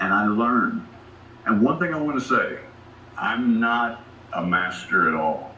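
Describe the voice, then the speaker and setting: Noticeable background noise plus audible room reverberation around a male speaker. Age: 50s. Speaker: conference speaker. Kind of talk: talk to an audience. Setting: stage with audience. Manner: animated.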